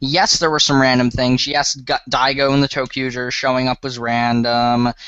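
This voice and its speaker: Medium-pitched male speech. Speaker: podcast co-host. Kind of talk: casual chat. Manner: halting.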